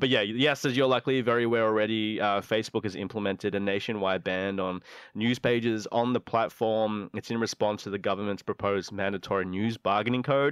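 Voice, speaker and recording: Delivered in an Australian accent at a very fast pace, the speech has fairly even intonation and hardly any pauses. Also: man, fairly low pitch for a man. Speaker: radio host. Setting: studio.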